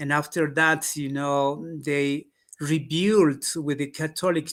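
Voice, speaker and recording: At a fairly slow pace, a man with an Andean accent speaks at a fairly high pitch in a very clean recording with a silent background. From Peru, Quechua community. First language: Quechua. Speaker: history and culture expert. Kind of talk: interview. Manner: halting, many fillers.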